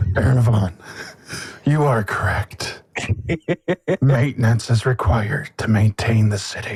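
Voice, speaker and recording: With long, frequent pauses and a fairly slow pace, a man performs a put-on character voice at a medium pitch. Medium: actual play. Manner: gracious, formal.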